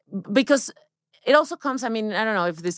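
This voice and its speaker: With a Spanish accent and lively intonation, a woman is heard in a very clean recording with a silent background and a dry, close sound with no echo. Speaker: women's health expert. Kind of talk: interview. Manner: halting.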